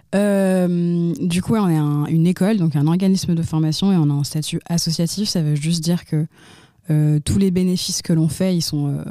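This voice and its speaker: The speaker is a woman with a fairly low pitch. She keeps a moderate pace and fairly even intonation. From France, Lyon. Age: 20s. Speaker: nonprofit founder. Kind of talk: interview. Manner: hesitant, with frequent fillers and repetitions.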